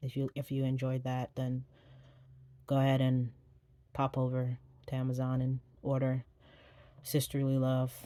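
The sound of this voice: At a fairly slow pace with long, frequent pauses, the dark, mellow voice keeps a monotone, flat intonation.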